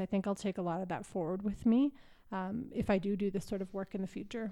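A woman speaks with a Canadian accent, a dark, mellow tone, and fairly even intonation. The recording is very clean, with a silent background. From Canada, Calgary, Alberta. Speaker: intern with a law background. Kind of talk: interview.

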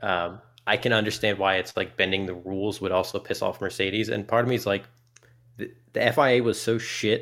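A man with a normal speaking voice, fairly low in pitch, fairly quick in pace, with fairly even intonation. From US Midwest and South. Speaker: gamer guest. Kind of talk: casual chat. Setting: remote call.

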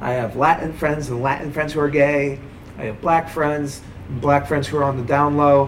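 Over noticeable background noise and audible room echo, a man speaks at a moderate pace in a fairly high, monotone, flat voice. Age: 30s. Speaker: stand-up comedian. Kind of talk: interview testimony. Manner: halting.

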